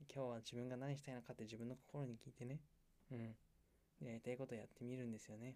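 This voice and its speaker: A very fast-talking man with a dark, mellow tone. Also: medium pitch for a man. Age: 20s. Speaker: solo podcaster, hobby baker. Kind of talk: casual solo talk. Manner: animated, frequent laughter.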